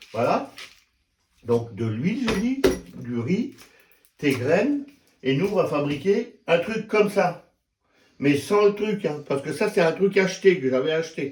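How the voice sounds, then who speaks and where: The speaker moves at a fairly slow pace, with very wide pitch swings and long, frequent pauses. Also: man, high pitch for a man. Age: 60s. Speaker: YouTuber. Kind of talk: tutorial. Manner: casual, halting.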